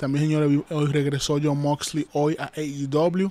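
At a moderate pace, the voice carries a dark, mellow tone in a dry sound with no echo. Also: man. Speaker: wrestling commentator and YouTuber. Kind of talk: wrestling commentary. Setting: live stream. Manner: repetitive, pitching viewers to like and subscribe. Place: home room.

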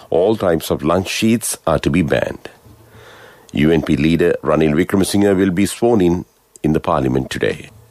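At a moderate pace, the voice keeps ordinary pitch variation and very even loudness, with a dry sound with no echo and a quiet background. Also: man, very deep, low pitch for a man. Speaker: radio newsreader. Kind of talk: news reading. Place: studio.

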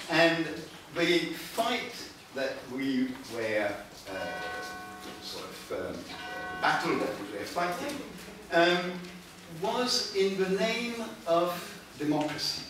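Very slow and broken by long, frequent pauses, a man's high-pitched voice makes very wide pitch swings amid strong room echo and music in the background. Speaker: conference speaker. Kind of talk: lecture. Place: meeting room. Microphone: camera far.

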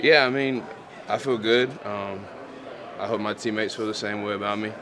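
A man with a fairly low voice talks while noticeable background noise carries on around him. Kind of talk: interview answer.

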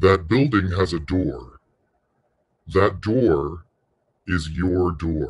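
A man talks very slowly in a soothing, calm tone, his pitch very deep and low and his voice somewhat breathy. He uses ordinary pitch variation and pauses long and often. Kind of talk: guided meditation. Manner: slow, soothing, calm and gently paced.

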